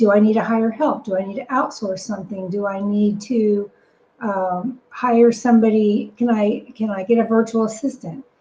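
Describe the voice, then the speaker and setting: At a moderate pace, a woman speaks at a fairly high pitch. She has an ordinary speaking voice with fairly even intonation. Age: 60s. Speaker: business operations consultant and podcast co-host. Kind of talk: podcast conversation.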